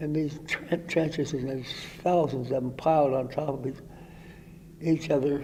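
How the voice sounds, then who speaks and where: A somewhat breathy voice with a dark, mellow tone moves at a moderate pace in monotone, flat intonation, broken by long, frequent pauses. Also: man, fairly high pitch for a man. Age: 80s+. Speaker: war veteran. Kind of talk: interview answer. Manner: halting, hesitant.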